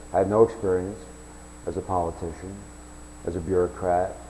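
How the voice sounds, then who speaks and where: At a moderate pace, the speaker talks in an American accent. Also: man. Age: 60s. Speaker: self-declared presidential candidate. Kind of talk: campaign announcement monologue. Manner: halting, with repeated restarts.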